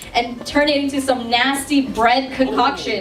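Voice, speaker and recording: Loud and animated, a woman with a high pitch and ordinary pitch variation talks at a moderate pace, with audible room echo and noticeable background noise. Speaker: vlogger giving maid of honor speech. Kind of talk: wedding speech. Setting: wedding reception with audience.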